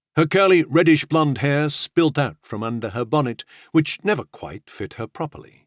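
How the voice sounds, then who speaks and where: A man with a plain, everyday voice at fairly high pitch, with lively intonation and a moderate pace, in a dry, close sound with no echo and a very clean recording with a silent background. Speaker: audiobook narrator. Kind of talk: audiobook narration of historical fiction.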